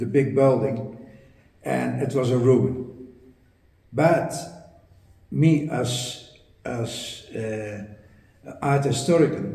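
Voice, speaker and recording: Audible room echo surrounds a man speaking at a very slow pace with a Dutch accent. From Netherlands. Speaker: art historian, property owner. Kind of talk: interview storytelling. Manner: halting, many repetitions and fillers.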